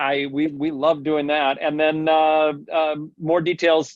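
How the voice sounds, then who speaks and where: A man with an ordinary speaking voice, fairly high in pitch, at a fairly slow pace. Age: 60s. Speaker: gallery host. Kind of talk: casual chat.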